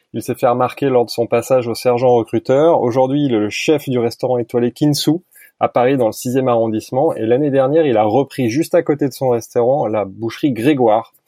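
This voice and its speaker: A man with a normal speaking voice and a medium pitch talks at a fairly quick pace. His intonation is fairly even. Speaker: podcast host. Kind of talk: casual interview. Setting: remote recording.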